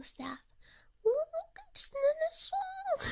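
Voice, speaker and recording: The speaker is soft-spoken against a quiet background. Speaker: virtual streamer. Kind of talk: casual stream chat. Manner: soft close ASMR morning voice. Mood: cheerful, amused storytelling.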